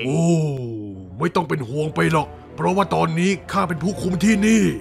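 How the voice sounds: With clear music in the background, a man puts on a character voice at a high pitch.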